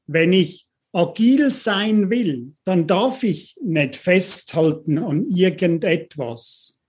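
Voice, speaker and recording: Against a quiet background, a man with a high pitch speaks at a very slow pace. His loudness stays very even while his intonation is lively. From London, Uganda. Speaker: leadership coach, company CEO. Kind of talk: interview conversation.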